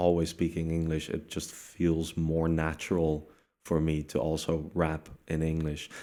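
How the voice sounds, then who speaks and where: A speaker with a Dutch accent. The recording is very clean, with a silent background. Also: man. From Netherlands. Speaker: rapper. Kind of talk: interview.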